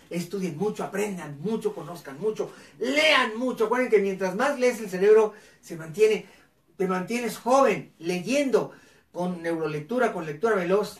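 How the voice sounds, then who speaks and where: An animated man's high voice at a moderate pace, with big swings in loudness and audible room echo. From northern Mexico, Ciudad Cuauhtémoc, Chihuahua; Chihuahua. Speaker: educator and live show host; educator, live show host. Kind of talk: live educational talk show. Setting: live online broadcast on camera. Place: home room.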